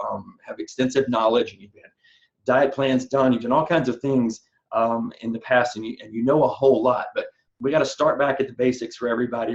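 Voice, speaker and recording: Man with a Southern US accent, medium pitch and a fairly quick pace. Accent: Southern US accent, still there. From US South. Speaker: personal trainer. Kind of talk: online nutrition seminar. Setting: online webinar, recorded. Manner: animated, repeats words and fillers.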